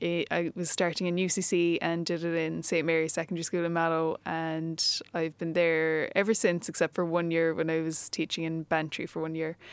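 On a very clean recording with a silent background, a woman speaks at a moderate pace with a fairly low pitch. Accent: Cork. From Ireland, Cork. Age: 30s. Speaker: teacher and empowerment coach. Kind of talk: casual interview chat.

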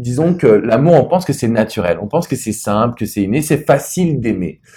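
A man's somewhat breathy, dark, mellow voice at medium pitch, with very wide pitch swings and a fairly quick pace. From France. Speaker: love and business coach. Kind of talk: interview. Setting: private wine cellar venue.

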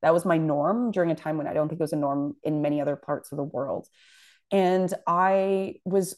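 With a Canadian accent, a woman with a normal speaking voice talks at a fairly quick pace and a fairly low pitch, with ordinary pitch variation, against a quiet background. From Toronto, Canada (Scarborough). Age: young. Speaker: journalist and news publisher. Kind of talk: interview.

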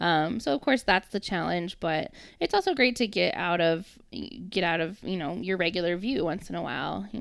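The woman's fairly low voice carries vocal fry and ordinary pitch variation at a moderate pace, in a very clean recording with a silent background. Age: 30s. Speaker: talent acquisition recruiter. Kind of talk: casual chat.

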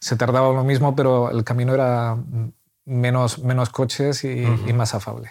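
At a moderate pace, a man of medium pitch speaks in a monotone, flat intonation with very even loudness. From Spain. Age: 40s. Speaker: church member. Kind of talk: interview conversation. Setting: at home.

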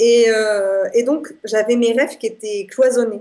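A woman with a fairly high pitch and fairly even intonation speaks in a plain, everyday voice. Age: 20s. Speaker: association founder and traveller. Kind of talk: radio interview.

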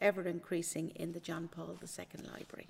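A woman with an Irish accent speaks at a fairly low pitch and moderate pace, her intonation monotone and flat. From Ireland, County Kildare. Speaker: senior library assistant. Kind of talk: interview.

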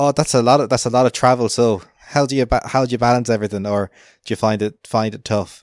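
In an Irish accent, a man at medium pitch talks at a very fast pace with fairly even intonation. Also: dry, close sound with no echo. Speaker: podcast host. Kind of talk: casual interview. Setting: remote call.

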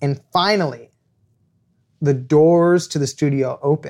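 A man is speaking. His pitch is fairly high. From Los Angeles, US. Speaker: author. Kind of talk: storytelling interview. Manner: animated.

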